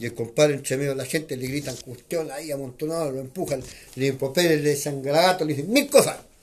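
This man talks at a very fast pace. His voice is fairly high-pitched and somewhat breathy. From Chile, northern nitrate pampas. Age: 70s. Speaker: neighborhood association leader. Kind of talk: interview. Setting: neighborhood association office.

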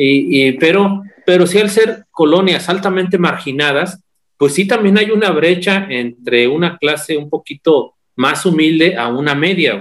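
A man's high-pitched voice with lively intonation at a fairly slow pace. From Mexico, San Luis Potosí. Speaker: podcast guest. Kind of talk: casual chat.

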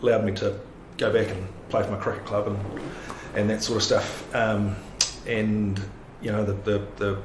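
A man with a New Zealand accent, fairly low pitch, monotone, flat intonation and a fairly quick pace, with audible room echo and noticeable background noise. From New Zealand, Palmerston North. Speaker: lawyer. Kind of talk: casual interview.

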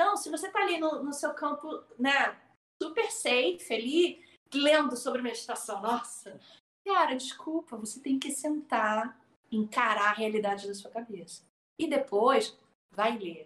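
Her high pitch swings very widely as a woman speaks at a fairly slow pace. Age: 40s. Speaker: meditation teacher. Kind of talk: casual chat. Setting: live stream. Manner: talkative.

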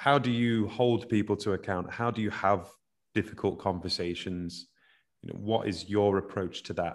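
Heard on a very clean recording with a silent background, a plain, everyday voice moves at a moderate pace with fairly even intonation. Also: man, fairly low pitch for a man. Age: 30s. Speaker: podcast host. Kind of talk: interview.

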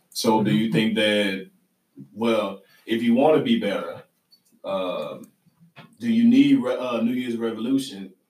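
A man talks at a fairly slow pace with a Southern US accent. His speech has long, frequent pauses. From US South. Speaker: podcast host. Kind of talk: casual chat. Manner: laughing often.

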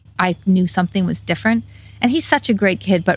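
A woman with a fairly low pitch and ordinary pitch variation speaks in a somewhat breathy voice. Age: 50s. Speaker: bike shop owner and former social worker. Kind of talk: interview.

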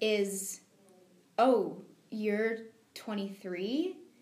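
Ordinary pitch variation with audible room echo. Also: woman. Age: 20s. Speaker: reality show contestant. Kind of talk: interview.

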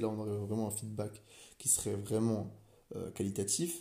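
A medium-pitched man, dark and mellow in tone and somewhat breathy, at a moderate pace amid audible room echo. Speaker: business school student. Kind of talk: solo podcast monologue. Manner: hesitant, many fillers and repetitions.

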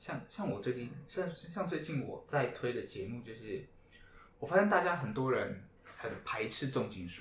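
Audible room echo surrounds a man who speaks at a moderate pace and a medium pitch, with very wide pitch swings and big swings in loudness. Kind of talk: casual chat. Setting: live podcast with band guests.

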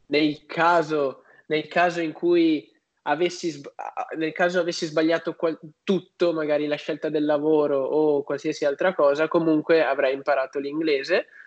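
In a normal speaking voice, a man talks at a fairly slow pace with a fairly high pitch and fairly even intonation. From northern Italy, Padua. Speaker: youtuber on personal finance. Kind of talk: interview.

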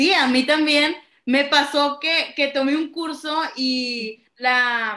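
Raising and projecting her high voice, a woman speaks with ordinary pitch variation. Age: 20s. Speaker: podcast co-host, theatre student. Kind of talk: casual chat; reading aloud. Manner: halting, many fillers.

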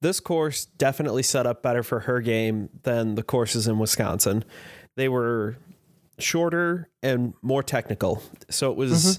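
In an unremarkable speaking voice, a man of medium pitch with an American accent talks at a moderate pace with ordinary pitch variation and very even loudness, on a very clean recording with a silent background. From Chicago area. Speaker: podcast co-host. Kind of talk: casual chat.

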